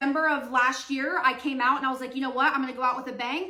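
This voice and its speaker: A raised, projected voice speaks in a flat monotone, with audible echo from the room. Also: woman. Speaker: social media creator on decluttering and routines. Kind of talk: storytime while doing her hair. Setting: at home doing her hair. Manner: loud.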